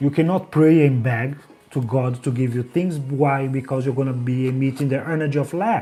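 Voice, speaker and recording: Over music in the background, a man with a strong Brazilian accent talks at a moderate pace, his medium pitch following a fairly even intonation. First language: Portuguese. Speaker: life coach. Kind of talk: motivational livestream with guided affirmations. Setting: livestream.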